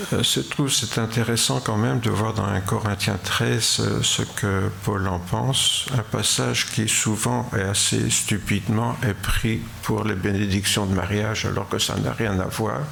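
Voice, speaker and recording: Noticeable background noise and room echo surround a man with a fairly low pitch. He talks at a fairly slow pace with lively intonation, very even loudness and hardly any pauses. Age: 80s+. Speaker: preacher. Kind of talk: sermon. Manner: halting.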